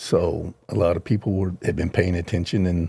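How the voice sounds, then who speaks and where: A man with an American accent, very deep, low pitch and a dark, mellow, somewhat breathy voice, on a very clean recording with a silent background. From US, Oklahoma (Hammond). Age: 70s. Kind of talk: podcast interview.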